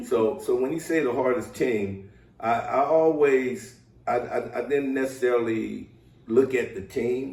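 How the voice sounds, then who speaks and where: A man with an American accent at a medium pitch, fairly slow and with ordinary pitch variation, amid audible room echo. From US West Coast, Southeast San Diego. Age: 60s. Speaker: former pro football player. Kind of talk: interview.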